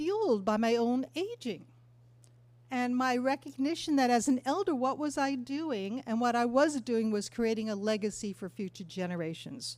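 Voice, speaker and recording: Her voice sits high, and the woman's intonation is lively. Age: 70s. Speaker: elder activist and workshop presenter. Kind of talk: talk to a live audience.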